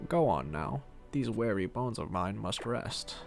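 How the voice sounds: Put-on character voice from a man, fairly low in pitch and at a moderate pace, amid clear background noise.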